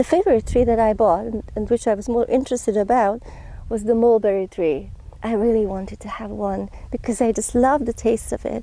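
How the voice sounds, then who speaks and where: A woman's fairly high, dark, mellow voice at a fairly quick pace, with ordinary pitch variation and a non-native accent. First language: not English. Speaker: gardening and body practice vlogger. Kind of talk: casual vlog narration. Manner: conversational, with frequent fillers.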